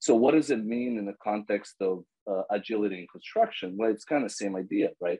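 Over a quiet background, a man speaks at a fairly low pitch with a dark, mellow tone. His pace is fairly quick and his pitch variation ordinary. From Bosnia. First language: Serbo-Croatian. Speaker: agile coach. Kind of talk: casual interview. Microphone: video call.

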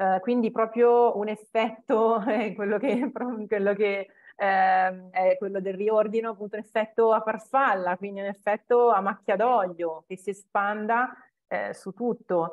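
Woman's voice, fairly slow and fairly even in intonation, over a quiet background. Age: 40s. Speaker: home organization consultant; interviewee. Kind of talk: interview. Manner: hesitant, many fillers. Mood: warm, reflective. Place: home room. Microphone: earbuds.

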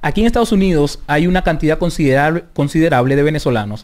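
Over a quiet background, a man talks at a fairly high pitch. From Venezuela. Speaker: Venezuelan immigrant interviewee; interviewee. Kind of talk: radio interview. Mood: earnest, advising. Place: studio. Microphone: studio mic.

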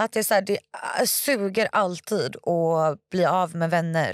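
A woman at a fairly slow pace, dry with no echo, in a quiet background. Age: 20s. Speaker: stripper and online content creator; podcast guest. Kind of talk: casual interview. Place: studio. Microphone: studio mic.

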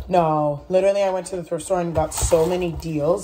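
A woman speaks at a moderate pace in a plain, everyday voice, fairly low in pitch with fairly even intonation. Light background noise can be heard. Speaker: vlogger. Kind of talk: casual vlog chat. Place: kitchen. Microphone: phone near.

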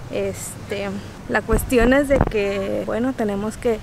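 A woman speaks at a fairly slow pace with ordinary pitch variation, in a dry sound with no echo and noticeable background noise. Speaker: travel vlogger. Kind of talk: casual vlog chat. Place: beach. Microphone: phone near.

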